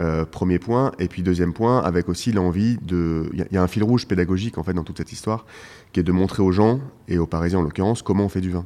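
A man talks at a very fast pace in a very deep, low voice. His tone is dark and mellow, with ordinary pitch variation. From Paris, France. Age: 40s. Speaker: winemaker. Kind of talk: interview. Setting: wine shop. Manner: halting.

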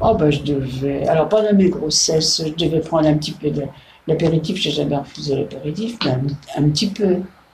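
A woman with a very deep, low pitch speaks at a moderate pace amid noticeable background noise and audible room echo. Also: ordinary pitch variation. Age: 80s+. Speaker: great-grandmother interviewed by granddaughter. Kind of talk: casual interview. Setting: home, over coffee. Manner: halting, many hesitations.

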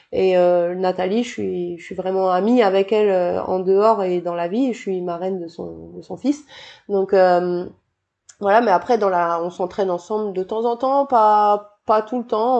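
A woman's medium-pitched voice, dark and mellow in tone, with fairly even intonation, a fairly slow pace and hardly any pauses. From New Caledonia. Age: 30s. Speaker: PE teacher and triathlete. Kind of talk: casual interview.

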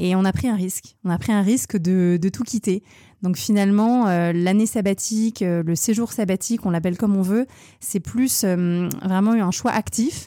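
A woman speaks at a moderate pace with a dark, mellow tone, medium pitch, very even loudness and fairly even intonation, on a very clean recording with a silent background. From France. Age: 30s. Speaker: fashion entrepreneur. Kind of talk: casual interview.

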